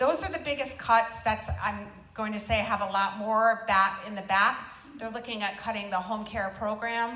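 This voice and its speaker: Over noticeable background noise and audible room echo, a woman speaks at a moderate pace with fairly high pitch and fairly even intonation. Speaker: senior care advocate. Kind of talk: panel presentation at town hall. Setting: town hall with audience.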